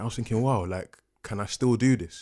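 Very fast speech in a London accent. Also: man, very clean recording, silent background. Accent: London English (Multicultural London English). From London (Peckham), British-Ghanaian family. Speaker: artist. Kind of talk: podcast interview. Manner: casual, laughs often.

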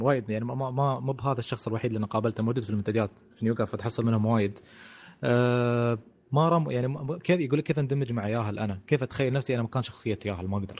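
Medium in pitch, a man speaks at a very fast pace. His pitch variation is ordinary. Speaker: podcast co-host. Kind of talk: casual chat.

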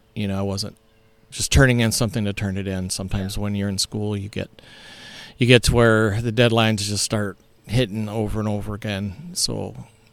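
A man with an American accent, an unremarkable speaking voice, fairly low in pitch and fairly even in intonation at a fairly quick pace. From Ohio. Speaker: pastor. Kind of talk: casual interview. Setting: on site at a church camp.

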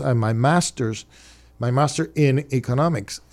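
With a Cuban accent, a man speaks at a moderate pace with ordinary pitch variation. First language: Spanish. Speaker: city commissioner. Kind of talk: radio interview. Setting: studio.

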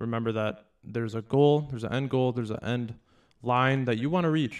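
A man with a normal speaking voice, medium pitch, fairly even intonation and a fairly quick pace. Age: 20s. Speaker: podcast co-host. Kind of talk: casual chat.

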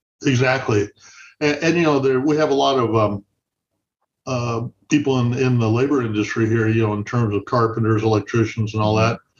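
This man has an American accent and a medium pitch with ordinary pitch variation. He talks at a moderate pace and sounds somewhat breathy. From Santa Barbara area, California. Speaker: city council member and retired police officer. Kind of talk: interview.

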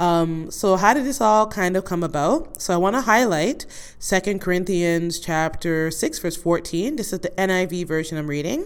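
Speaking at a moderate pace with hardly any pauses, a woman at a fairly low pitch shows ordinary pitch variation in an ordinary speaking voice. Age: 40s. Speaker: podcast host. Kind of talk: casual monologue.

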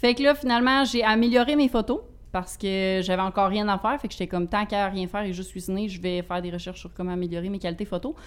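In a Quebec accent, a woman talks very fast at medium pitch with ordinary pitch variation. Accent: regional Quebec French. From Quebec, Bas-Saint-Laurent (Rivière-du-Loup). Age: 20s. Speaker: healthy recipe content creator. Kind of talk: casual interview chat.

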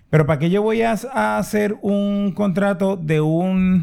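A man speaks at a very slow pace. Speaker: podcast co-host. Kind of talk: casual chat.

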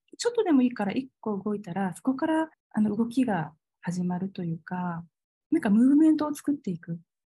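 A woman with a fairly high pitch and a dark, mellow tone speaks at a fairly quick pace, somewhat breathy, with very wide pitch swings and big swings in loudness. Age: 40s. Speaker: holistic aesthetician and salon owner. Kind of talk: interview conversation.

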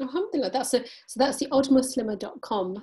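A woman with a British accent speaks high in pitch, with a dark, mellow tone and very wide pitch swings. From England. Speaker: podcast host. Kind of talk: interview. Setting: remote call.

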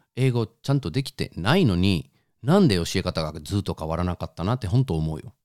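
With a Spanish accent, a man speaks fairly quickly at a very deep, low pitch with lively intonation, in a very clean, dry, close recording with no echo and a silent background. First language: Spanish (speaking Japanese). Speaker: podcast co-host. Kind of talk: casual chat.

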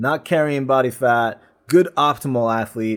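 A man speaks with ordinary pitch variation and a fairly bright, clear, smooth tone. The recording is very clean, with a silent background. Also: medium pitch for a man, moderate pace.

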